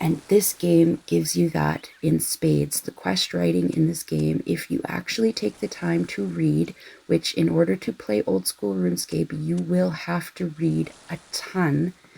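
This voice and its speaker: Soft-spoken and fairly slow, a woman talks with hardly any pauses. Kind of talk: casual rambling chat for background listening.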